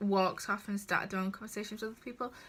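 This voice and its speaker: With a strong northern English accent, a woman speaks at a medium pitch in a bright, sharp tone. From northern England. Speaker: vlogger. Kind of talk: storytime vlog. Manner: casual and animated.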